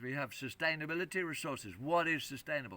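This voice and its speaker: The man's voice has a bright, sharp tone. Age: 70s. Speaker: environmental activist. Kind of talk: interview. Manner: halting.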